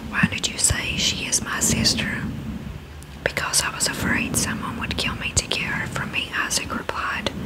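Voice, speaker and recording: Whispering at a moderate pace, a woman speaks. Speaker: ASMR creator. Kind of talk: Bible reading. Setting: studio, microphone with fluffy cover. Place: home room. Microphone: studio mic.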